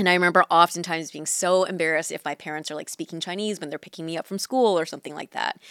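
In a Southern California accent, a woman with a fairly low pitch talks at a very fast pace with hardly any pauses, fairly even intonation and big swings in loudness, in a dry, close sound with no echo. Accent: general American, Southern California. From Orange County, California. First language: Mandarin. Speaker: podcast co-host. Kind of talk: casual chat.

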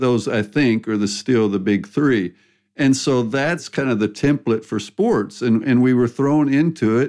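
A man with a normal speaking voice, medium pitch, ordinary pitch variation and a fairly slow pace. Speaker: sports science professor, guest host. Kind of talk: casual chat.

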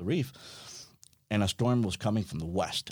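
A man talks in a fairly low, dark, mellow voice. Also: very clean recording, silent background. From Miami. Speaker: fishing industry professional. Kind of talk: casual chat. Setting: studio.

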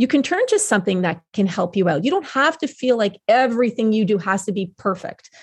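Fairly quick, somewhat breathy speech with lively intonation. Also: woman. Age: 50s. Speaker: nutritionist. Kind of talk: casual chat.

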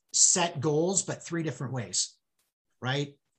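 This man has an American accent and a fairly high pitch. He talks at a very slow pace with ordinary pitch variation. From US Midwest, St. Louis. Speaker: sports business executive. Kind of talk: interview. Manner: repeats words, hesitant starts.

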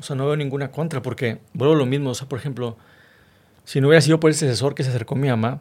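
Speaking very fast with long, frequent pauses, a man at a medium pitch keeps his intonation fairly even on a very clean recording with a silent background. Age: 30s. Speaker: motivational speaker and author, cancer survivor. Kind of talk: interview testimony.

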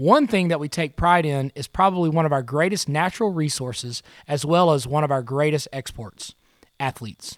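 In a very clean recording with a silent background, a man with a Mississippi accent speaks at a fairly quick pace, his fairly high pitch showing ordinary variation. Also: dry, close sound with no echo. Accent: US Southern (Mississippi). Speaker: podcast host. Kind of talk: scripted narration.

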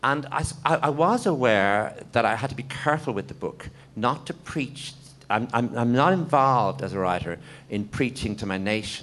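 A man speaks with an Irish accent at a medium pitch and moderate pace. His intonation is lively, and there is audible room echo. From Ireland. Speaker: novelist. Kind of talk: press conference panel. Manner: halting.

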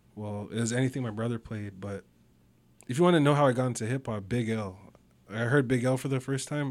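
Very fast speech in a Toronto accent. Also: man. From Toronto, Canada (Scarborough). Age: 20s. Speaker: digital artist. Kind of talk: casual chat.

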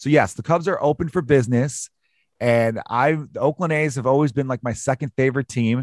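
A man with an unremarkable speaking voice talks fairly quickly at a medium pitch with ordinary pitch variation. The sound is dry and close with no echo, against a quiet background. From Chicago. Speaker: podcast host and stand-up comedian. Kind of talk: casual chat.

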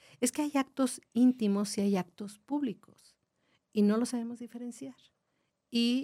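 A woman speaks at a fairly slow pace. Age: 60s. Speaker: family education teacher. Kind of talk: casual chat.

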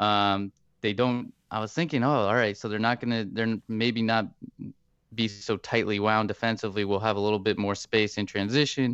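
Over a quiet background, a man with a plain, everyday voice speaks at a moderate pace, his pitch fairly low and his intonation fairly even. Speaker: co-host sports analyst. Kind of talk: casual sports podcast discussion. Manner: relaxed, laughs often.

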